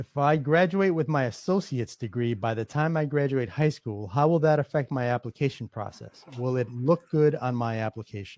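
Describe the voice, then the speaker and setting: A man talks at a moderate pace with hardly any pauses, his pitch medium and its variation ordinary. The sound is dry and close, with no echo. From New York, the Bronx. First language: Spanish. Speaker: alumni chapter president, moderator. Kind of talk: moderating Q&A panel. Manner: halting, many fillers and restarts.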